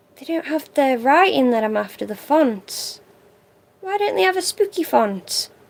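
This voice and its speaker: A woman's high voice at a moderate pace, with very wide pitch swings and big swings in loudness. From England, Stoke-on-Trent. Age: 20s. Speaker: craft livestreamer. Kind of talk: casual livestream chat.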